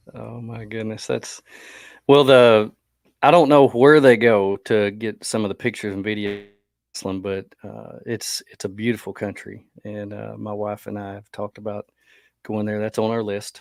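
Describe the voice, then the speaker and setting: An unremarkable speaking voice belongs to this man, with fairly low pitch, fairly even intonation and big swings in loudness. The recording is very clean over a silent background. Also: moderate pace. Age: middle-aged. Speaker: podcast host. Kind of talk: casual interview chat. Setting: live podcast.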